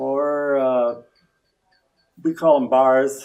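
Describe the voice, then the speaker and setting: A man speaks in a Midwestern US accent. His pitch is medium and his intonation fairly even. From eastern Iowa, Jackson County. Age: 80s+. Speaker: longtime local resident. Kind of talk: interview. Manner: halting.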